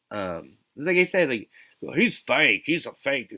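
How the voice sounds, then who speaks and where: At a moderate pace, a man speaks in a bright, sharp tone with very wide pitch swings. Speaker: gaming streamer and parody musician. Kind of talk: casual live stream chat while gaming. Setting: home garage. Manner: stutters, halting with many fillers.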